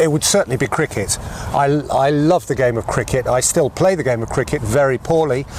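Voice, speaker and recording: The speech moves at a fairly quick pace with ordinary pitch variation, set against noticeable background noise. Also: man, fairly high pitch for a man. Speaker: football commentator. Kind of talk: interview answer.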